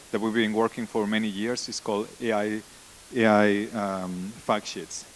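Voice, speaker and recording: A man talks at a fairly quick pace with a Spanish accent. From Spain. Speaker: conference speaker, data science team lead. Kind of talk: conference talk. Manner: halting, frequent repetitions and fillers.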